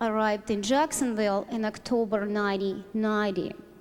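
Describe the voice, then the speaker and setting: A moderate pace with music in the background. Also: woman. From Ukraine. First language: Ukrainian or Russian. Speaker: church ministry worker, former doctor. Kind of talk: testimony.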